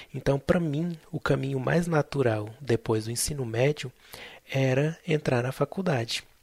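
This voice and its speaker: A somewhat breathy male voice at a fairly slow pace, with ordinary pitch variation and a dry, close sound free of echo. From central Brazil, Tocantins and Goiânia. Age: 20s. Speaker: podcast host, biomedical scientist. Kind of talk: personal storytelling monologue.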